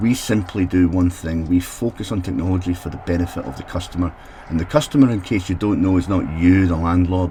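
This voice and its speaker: Amid noticeable background noise, a man with a Scottish accent speaks at a fairly quick pace in a very deep, low pitch. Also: ordinary pitch variation. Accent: Scottish brogue. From Scotland. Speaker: technology consultant for social housing. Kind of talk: solo mini podcast.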